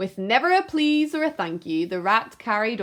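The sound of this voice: An unforced reading voice is heard throughout.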